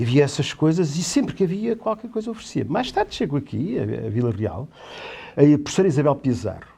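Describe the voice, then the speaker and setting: At a fairly quick pace, a man speaks in a fairly high pitch with a dark, mellow tone, very wide pitch swings and vocal fry. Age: 60s. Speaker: theatre director and teacher. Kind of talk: interview on a talk show. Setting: studio. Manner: halting.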